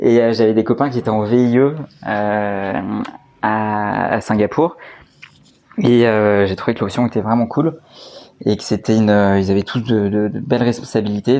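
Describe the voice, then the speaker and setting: Here a man speaks at a fairly low pitch and fairly slow pace. His intonation stays fairly even, broken by long, frequent pauses. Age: 30s. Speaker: entrepreneur, co-founder of a honey company. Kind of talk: interview. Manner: halting, many fillers and repetitions.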